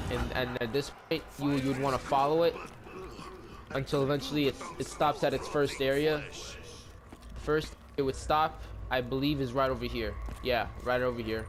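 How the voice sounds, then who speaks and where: A man with long, frequent pauses, over noticeable background noise. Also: moderate pace. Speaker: gaming youtuber. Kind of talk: tutorial. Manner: halting.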